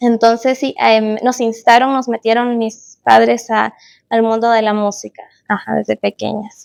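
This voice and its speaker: A woman with a Chilean accent, fairly high pitch and flat, monotone intonation, in a very clean recording with a silent background. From Chile, Concepción. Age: 20s. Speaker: musician. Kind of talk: casual chat. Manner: hesitant, many fillers.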